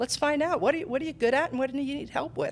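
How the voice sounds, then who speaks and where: Over noticeable background noise, a woman talks at a high pitch with an American accent. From New Jersey. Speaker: nurse and career coach. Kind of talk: interview. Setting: podcast.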